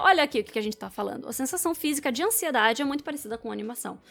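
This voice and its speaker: A woman speaks very fast with a high pitch. Her intonation is lively. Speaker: public speaking coach. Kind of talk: video commentary. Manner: energetic.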